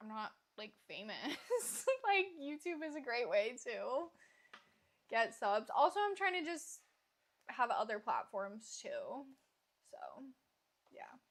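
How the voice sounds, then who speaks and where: A woman with an American accent talks at a very slow pace, leaving long, frequent pauses. Her high pitch moves in very wide swings, and her loudness swings widely too. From US Midwest. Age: 20s. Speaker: live streamer. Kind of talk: casual chat. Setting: livestream.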